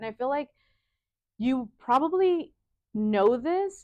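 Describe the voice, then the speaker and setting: This is a woman with a Spanish accent. She uses lively intonation. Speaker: fashion designer. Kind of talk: casual interview. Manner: casual, filler-heavy (like, you know).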